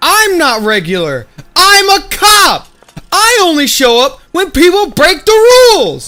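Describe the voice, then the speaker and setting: A shouting, put-on character voice at an extremely high pitch and a fairly slow pace. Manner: yelling, forceful, indignant.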